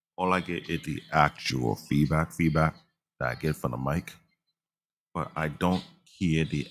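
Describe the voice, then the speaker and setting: At a fairly slow pace, a man speaks with vocal fry in a very deep, low voice with ordinary pitch variation. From Africa. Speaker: livestreamer, anime reviewer. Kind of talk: casual livestream chat.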